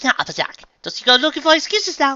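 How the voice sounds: Fast and full of big pitch swings, this put-on character voice has a bright, sharp tone.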